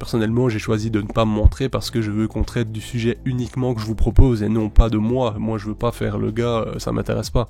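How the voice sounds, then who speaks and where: A man's fairly low, monotone, flat voice at a very fast pace with hardly any pauses, over noticeable background noise. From Belgium. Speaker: YouTuber, ant keeper. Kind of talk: casual vlog monologue. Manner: loud; hesitant, many fillers.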